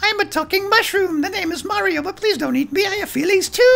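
An extremely high put-on character voice rattles along at a very fast pace. Light background noise sits underneath. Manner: pleading, comical.

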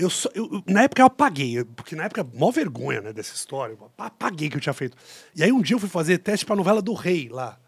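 A man's high voice at a very fast pace, very wide pitch swings and big swings in loudness, dry sound with no echo and a quiet background. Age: 40s. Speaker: actor and TV presenter. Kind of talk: casual chat. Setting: studio. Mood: humorous, self-deprecating. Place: studio. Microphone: studio mic.

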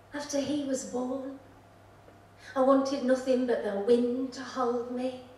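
A woman with a high pitch speaks at a fairly slow pace in a monotone, flat way, with long, frequent pauses and big swings in loudness. Room echo is audible. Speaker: poet. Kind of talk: poetry reading with chatty, humorous intros. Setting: stage with audience. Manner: warm, playful, lilting. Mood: quiet, reflective delivery. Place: stage.

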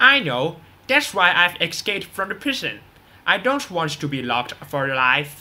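A put-on character voice with big pitch swings, a bright, sharp tone and a fairly slow pace

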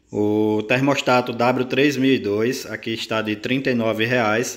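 The man speaks at a medium pitch in a flat, monotone delivery. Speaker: small breeder and incubator parts seller. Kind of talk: sales pitch reading out a price list item by item. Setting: video recording for online channel. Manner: urgent, pushing viewers to hurry.

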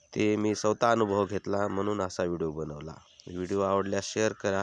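A man talks in a normal speaking voice, pitched fairly low. The sound is dry and close with no echo, against a quiet background. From Maharashtra, Surgana area (Nashik district), Adivasi community. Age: 40s. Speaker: vlogger. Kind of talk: casual explanatory vlog.

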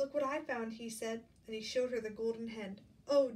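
This is a natural reading voice. It carries through the whole clip.

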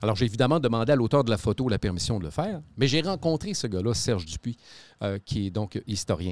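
A man talks at a fairly quick pace and medium pitch with very wide pitch swings, in a dry sound with no echo. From Quebec City; Quebec. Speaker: podcast host. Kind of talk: casual chat. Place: studio. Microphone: studio mic.

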